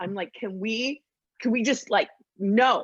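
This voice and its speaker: At a fairly slow pace, a woman speaks in an animated tone with ordinary pitch variation, the sound dry and close with no echo. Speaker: podcast host guest. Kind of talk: casual chat. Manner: loud.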